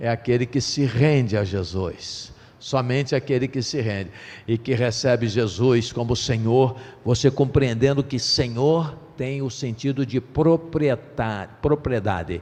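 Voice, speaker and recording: A man at a medium pitch talks at a very slow pace, his pitch varying in an ordinary way. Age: 60s. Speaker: pastor. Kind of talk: sermon.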